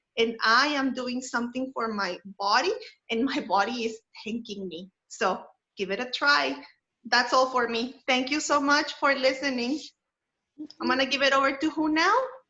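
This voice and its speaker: Raised and projected, the voice has a bright, sharp tone and ordinary pitch variation, moving at a moderate pace with long, frequent pauses. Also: woman, high pitch for a woman. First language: not English. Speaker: wellness presenter. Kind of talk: webinar presentation.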